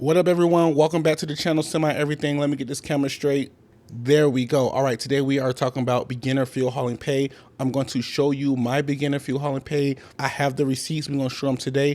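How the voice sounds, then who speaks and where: A man at a very fast pace, fairly high in pitch, with monotone, flat intonation, on a very clean recording with a silent background. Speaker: rookie fuel hauler and trucking vlogger. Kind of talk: casual vlog tutorial. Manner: casual and conversational.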